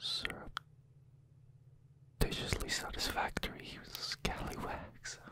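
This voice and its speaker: A man whispers. He speaks at a fairly slow pace. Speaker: ASMR creator. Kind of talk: close-up whispered ASMR trigger words. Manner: whispered, close to the microphone. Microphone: studio mic.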